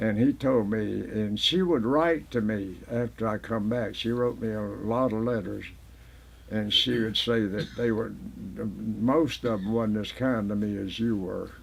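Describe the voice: Fairly slow and fairly low-pitched, this man's voice has vocal fry and ordinary pitch variation.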